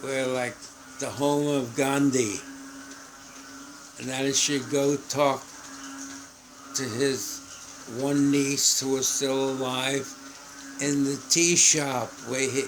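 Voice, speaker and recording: Through audible room echo and noticeable background noise, a man at a medium pitch speaks very slowly in a monotone, flat intonation with long, frequent pauses. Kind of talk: casual chat. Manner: halting.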